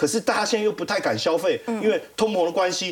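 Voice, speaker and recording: A man's high-pitched, animated voice at a fairly quick pace. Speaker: financial analyst. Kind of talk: TV panel discussion.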